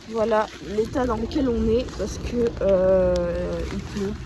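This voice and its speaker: A woman at a very slow pace, with audible room echo and noticeable background noise. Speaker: vlogger. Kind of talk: casual vlog. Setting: outdoors in the rain. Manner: whispering; hesitant, many fillers.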